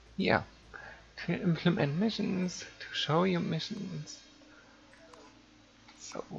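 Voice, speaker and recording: Long, frequent pauses mark this very slow speech, heard over noticeable background noise. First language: not English. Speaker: game server admin and streamer. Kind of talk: live-streamed game tutorial. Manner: halting, with fillers.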